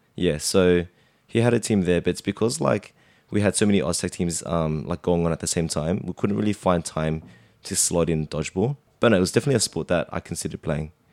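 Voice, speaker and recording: Very deep and low, a man's voice with an Australian accent moves very fast with ordinary pitch variation, recorded dry and close with no echo on a very clean, silent background. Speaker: amateur Oz Tag player. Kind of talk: casual chat.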